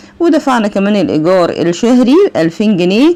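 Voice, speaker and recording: A woman speaks at a medium pitch with an Egyptian accent. Noticeable background noise is present. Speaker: accounting teacher. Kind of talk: lecture.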